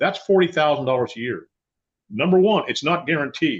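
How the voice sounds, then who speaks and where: This man speaks with an American accent at a fairly quick pace. His fairly high pitch moves in very wide swings. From US Midwest (Nebraska). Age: 70s. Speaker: financial and retirement planning advisor. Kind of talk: radio interview. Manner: animated.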